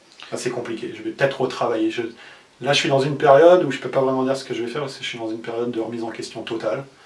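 With audible room echo and light background noise, a man speaks in fairly even intonation. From France. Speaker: former poker player; interviewee. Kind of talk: interview. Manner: halting. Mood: reflective, somewhat rueful.

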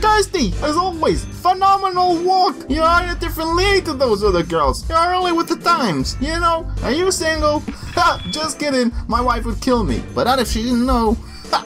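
A cartoonish character voice speaks at a moderate pace. Clear music plays in the background. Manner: gushing, leering, laughing.

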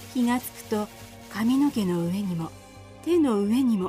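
Over music in the background, a woman speaks at a moderate pace in a medium pitch with lively intonation. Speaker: narrator. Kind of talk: fairy tale audio drama narration.

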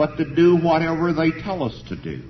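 Over light background noise, a man with an American accent speaks fairly slowly with vocal fry. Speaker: university professor giving a political lecture. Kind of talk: formal public lecture to an audience. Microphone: old recording.

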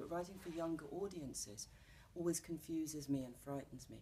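With a London accent and vocal fry, a woman speaks at a fairly quick pace in a fairly low pitch over light background noise. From London, England. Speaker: actress and playwright. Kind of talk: interview answer. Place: studio.

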